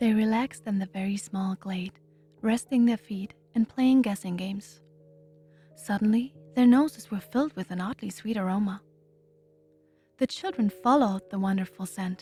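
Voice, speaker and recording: With music in the background, a soft-spoken woman talks at a moderate pace and medium pitch, with ordinary pitch variation, long, frequent pauses and a dry, close sound with no echo. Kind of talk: bedtime story.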